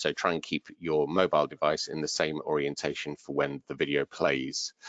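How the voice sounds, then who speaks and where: A man speaks in a very deep, low pitch. The sound is dry with no echo, over a quiet background. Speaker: webinar organiser. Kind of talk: online training webinar. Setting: online webinar. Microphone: headset.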